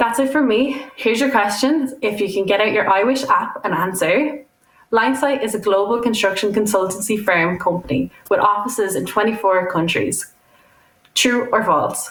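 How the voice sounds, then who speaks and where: In an Irish accent, a woman speaks at a moderate pace and a fairly high pitch, with lively intonation and very even loudness. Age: 20s. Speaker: student quantity surveyor. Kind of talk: prerecorded talk.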